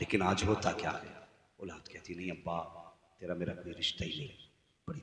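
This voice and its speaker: Very deep and low in pitch, a man speaks in a passionate, bright and sharp tone. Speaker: Islamic preacher. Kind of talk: religious sermon (taqreer) delivered to a live audience. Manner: passionate, emphatic, preaching.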